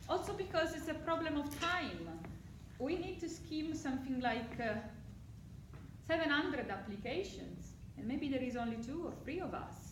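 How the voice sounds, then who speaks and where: A woman with an Italian accent talks at a moderate pace in a high pitch, using lively intonation and long, frequent pauses, with audible room echo. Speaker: psychology lecturer. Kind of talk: talk to prospective students. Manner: animated.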